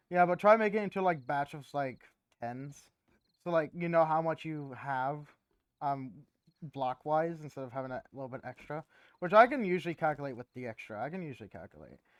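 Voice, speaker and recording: A fairly high-pitched man talks at a fairly quick pace with lively intonation and big swings in loudness, in a very clean, silent-background recording with a dry, close sound and no echo. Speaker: gaming channel host. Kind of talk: casual gameplay chat.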